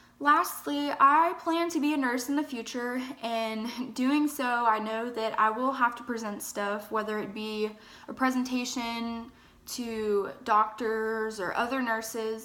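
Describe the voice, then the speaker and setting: A woman at a fairly high pitch with ordinary pitch variation, speaking at a fairly slow pace amid audible room echo. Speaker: college student. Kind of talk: self-evaluation monologue. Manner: hesitant, with fillers.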